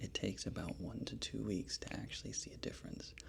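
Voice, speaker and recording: A man whispers at a fairly quick pace. His tone is relaxed. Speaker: pharmacist. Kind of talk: casual review talk to camera. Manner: soft-spoken, relaxed.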